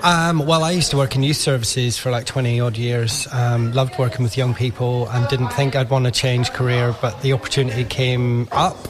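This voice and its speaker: At a moderate pace, a man with a medium pitch keeps his intonation fairly even over noticeable background noise. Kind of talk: radio interview.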